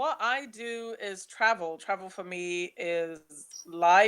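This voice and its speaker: A woman speaks at a very slow pace in a London accent, her pitch fairly low. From London, England (born in Nigeria, moved at five). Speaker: travel blogger. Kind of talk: webinar presentation.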